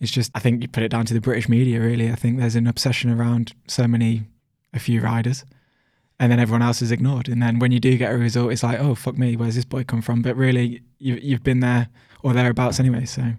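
Very fast and monotone, a man with a Birmingham accent speaks at a medium pitch in a dark, mellow tone on a very clean recording with a silent background. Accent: Birmingham-tinged Midlands English. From Coventry, England. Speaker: professional cyclist. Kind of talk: casual interview chat.

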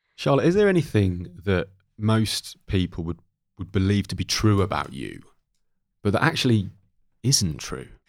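An East Anglian accent comes through at a moderate pace, broken by long, frequent pauses. The pitch swings very widely, and the recording is very clean with a silent background. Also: man, fairly low pitch for a man. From East Anglia England. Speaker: podcast host. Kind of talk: casual podcast interview.

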